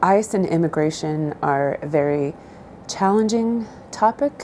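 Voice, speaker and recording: With noticeable background noise behind her, a woman speaks at a fairly slow pace in a fairly low pitch with lively intonation. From southern Idaho, US. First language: Spanish. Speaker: interviewee. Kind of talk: interview answers. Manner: hesitant, many fillers.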